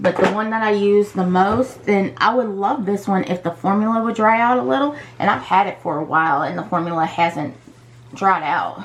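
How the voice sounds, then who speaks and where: Noticeable background noise beneath a woman's medium-pitched voice, moderately paced and lively in intonation. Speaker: beauty vlogger. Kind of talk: makeup tutorial chat. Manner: casual with fillers and restarts; soft-spoken while concentrating.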